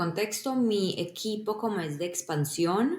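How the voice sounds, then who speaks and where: A woman has an unremarkable speaking voice, with medium pitch and ordinary pitch variation. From Colombia. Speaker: software engineer. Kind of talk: podcast interview.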